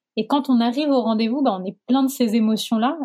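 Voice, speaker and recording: A woman's ordinary speaking voice, fairly high in pitch, with ordinary pitch variation. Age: 30s. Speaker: sociologist. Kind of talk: testimony.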